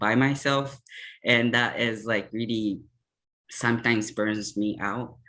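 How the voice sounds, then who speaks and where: Medium-pitched male voice, bright and sharp, with fairly even intonation and a Japanese accent over a quiet background. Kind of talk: panel discussion.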